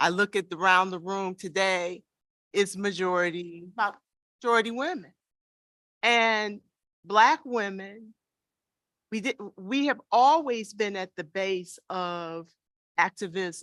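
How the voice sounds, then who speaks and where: Loud and bright, a woman with a medium pitch and a sharp tone speaks at a fairly slow pace with long, frequent pauses. Her pitch varies in an ordinary way, and the sound is dry and close with no echo. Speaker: panelist, activist. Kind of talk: panel discussion. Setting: room with live audience.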